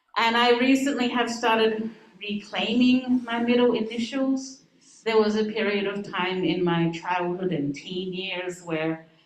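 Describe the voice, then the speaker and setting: Audible room echo surrounds a woman who talks at a fairly slow pace with ordinary pitch variation. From Australia, Adelaide. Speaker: minister. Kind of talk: talk to congregation.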